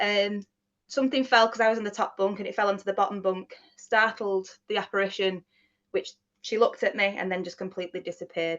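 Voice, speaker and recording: In a Mancunian accent, a woman speaks at a fairly quick pace and medium pitch with fairly even intonation. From Manchester area, England. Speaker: paranormal investigator. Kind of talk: casual interview, storytelling.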